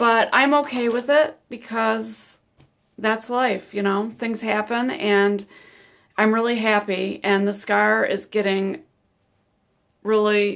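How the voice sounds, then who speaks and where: A woman's fairly high voice, very slow and fairly even in intonation. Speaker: vlogger sharing surgery experience. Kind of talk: personal testimony vlog. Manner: casual, halting with many ums.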